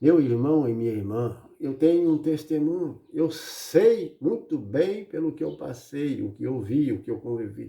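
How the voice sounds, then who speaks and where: Fairly high-pitched for a man, his voice has a dark, mellow tone as he talks at a fairly slow pace with hardly any pauses. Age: 60s. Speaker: preacher. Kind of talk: sermon. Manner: animated.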